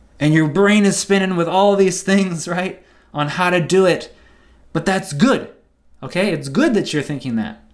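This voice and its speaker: Audible room echo surrounds a man with a high pitch. He moves at a moderate pace with ordinary pitch variation. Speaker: trading educator. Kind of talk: seminar lecture.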